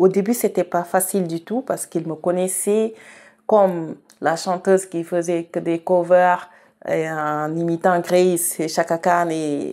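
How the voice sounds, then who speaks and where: A woman with a Senegalese accent speaks very slowly at a fairly low pitch with fairly even intonation, on a very clean recording with a silent background. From Senegal, Saloum region. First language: Wolof (speaking French). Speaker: singer-songwriter. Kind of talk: interview. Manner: hesitant, with fillers and repetitions.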